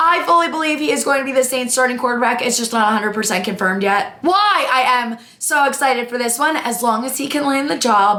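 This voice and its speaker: A woman's raised, projected voice with an energetic tone and lively intonation. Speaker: sports content creator. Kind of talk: casual talk to camera. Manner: energetic, chatty.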